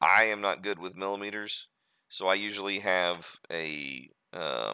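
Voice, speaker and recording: On a very clean recording with a silent background, a man with an American accent speaks fairly slowly, his very deep, low voice carrying vocal fry and a bright, sharp tone. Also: ordinary pitch variation. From USA. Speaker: 3D modeling streamer. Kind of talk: tutorial. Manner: casual, halting with fillers.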